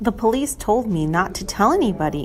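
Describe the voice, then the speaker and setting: A put-on character voice, female-sounding and at medium pitch, moves at a fairly quick pace over clear background noise. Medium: read story.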